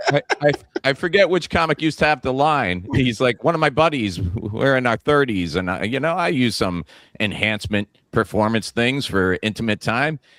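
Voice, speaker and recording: A man talks in an unremarkable speaking voice at a medium pitch and moderate pace, with lively intonation. The recording is very clean with a silent background and a dry, close sound with no echo. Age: 40s. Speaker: comedian and podcast host. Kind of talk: casual chat. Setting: studio.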